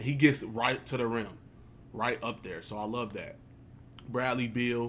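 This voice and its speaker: In a plain, everyday voice, a man with an American accent talks at a medium pitch and fairly slow pace, keeping fairly even intonation despite big swings in loudness. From Chicago. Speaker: gaming YouTuber. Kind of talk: casual gameplay commentary.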